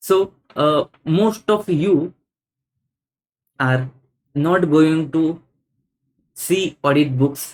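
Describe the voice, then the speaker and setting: A man speaks with an Indian accent. His pitch variation is ordinary. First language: Hindi. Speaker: CA exam audit teacher. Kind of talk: exam answer walkthrough lecture. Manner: halting, frequent fillers.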